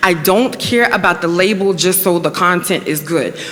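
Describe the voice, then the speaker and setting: A woman's voice over noticeable background noise. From Newport News, Virginia. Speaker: panel speaker on diversity policy. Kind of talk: panel discussion Q&A.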